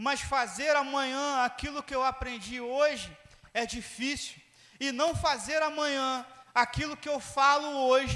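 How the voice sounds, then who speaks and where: A man's raised, projected voice at a fairly slow pace. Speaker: pastor. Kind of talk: sermon.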